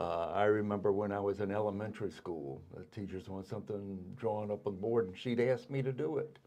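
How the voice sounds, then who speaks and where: A man with a Virginia accent, fairly low pitch, ordinary pitch variation and a fairly quick pace. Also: hardly any pauses. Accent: Virginia Southern. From Virginia, Colonial Heights. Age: 70s. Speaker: artist. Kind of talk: interview. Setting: studio.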